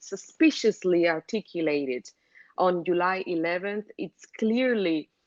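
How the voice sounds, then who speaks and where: This voice has a Cuban accent and lively intonation at a fairly slow pace. The sound is dry and close, with no echo. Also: woman. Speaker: journalist. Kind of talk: interview. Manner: hesitant, many fillers and restarts.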